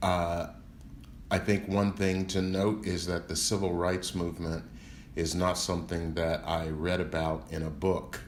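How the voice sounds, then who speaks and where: With an American accent, a man speaks fairly slowly at a very deep, low pitch and fairly even intonation, with audible room echo. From US South, Memphis, Tennessee. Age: 60s. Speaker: civil rights lawyer. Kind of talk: interview.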